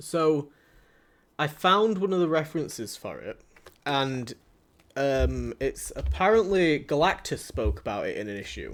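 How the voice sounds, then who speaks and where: In a Yorkshire accent, a man talks at a fairly slow pace with long, frequent pauses and big swings in loudness. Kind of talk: casual conversational.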